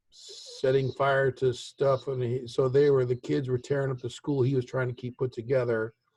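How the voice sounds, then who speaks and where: Dry and close with no echo, a man's somewhat breathy, medium-pitched voice with an American accent keeps a moderate pace with hardly any pauses. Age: 60s. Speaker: father of the host. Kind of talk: casual chat. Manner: halting.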